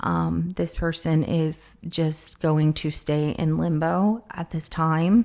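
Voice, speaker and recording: A woman speaks at a very slow pace in a very deep, low pitch. Her intonation stays fairly even. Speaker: tarot reader. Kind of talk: tarot reading. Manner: hesitant, filler-heavy.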